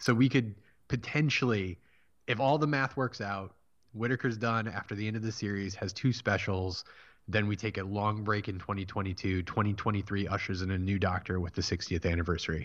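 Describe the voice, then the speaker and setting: A man speaks at a fairly quick pace in a fairly low pitch, with ordinary pitch variation. It is an unremarkable speaking voice over a quiet background. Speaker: podcast host. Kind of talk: casual chat. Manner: laughs often.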